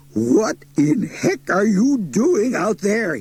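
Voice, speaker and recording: A man puts on a croaky, growling character voice, pitched high for a man, speaking at a very slow pace with very wide pitch swings. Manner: incredulous, exasperated.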